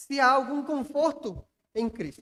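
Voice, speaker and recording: A man's extremely high-pitched voice at a moderate pace, with ordinary pitch variation. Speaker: pastor. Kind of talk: sermon. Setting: church.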